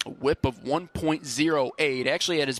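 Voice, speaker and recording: Heard dry and close with no echo, a man with a plain, everyday voice talks at a moderate pace, his fairly high pitch held in fairly even intonation. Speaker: baseball radio play-by-play announcer. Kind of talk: live baseball radio play-by-play.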